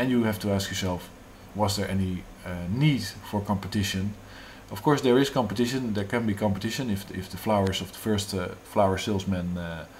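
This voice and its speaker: A man with a fairly low pitch sounds somewhat breathy, with ordinary pitch variation. Audible room echo surrounds his voice. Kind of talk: monologue on economics. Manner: halting, many fillers.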